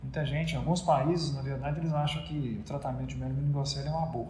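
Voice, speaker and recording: Talking at a very fast pace, a man is heard over noticeable background noise with audible echo from the room. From Brazil, Minas Gerais. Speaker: neurosurgeon. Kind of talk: interview.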